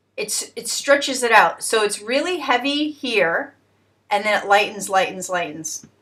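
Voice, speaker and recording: Here a woman speaks with lively intonation. Her tone is bright and sharp. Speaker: photography tutor. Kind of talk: tutorial. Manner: hesitant, many fillers.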